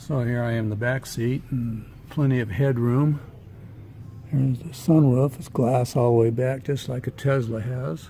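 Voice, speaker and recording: A soft-spoken man with a medium pitch, fairly even intonation and a moderate pace. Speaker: vlogger, electric vehicle enthusiast. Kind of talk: vlog. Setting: car dealership showroom. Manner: casual, with filler words.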